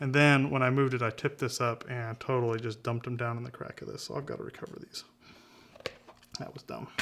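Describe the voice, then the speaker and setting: The speaker mumbles at a very fast pace with fairly even intonation. There is noticeable background noise. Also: man, medium pitch for a man. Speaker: videographer doing a hardware repair tutorial. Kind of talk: tutorial. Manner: mumbling; halting.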